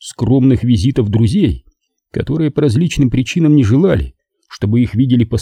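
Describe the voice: Quiet background behind plain reading aloud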